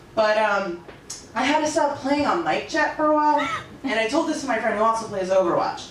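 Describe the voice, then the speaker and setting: Amid noticeable background noise and audible room echo, a woman speaks fairly quickly at a high pitch with very wide pitch swings. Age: 20s. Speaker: comedian. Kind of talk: stand-up.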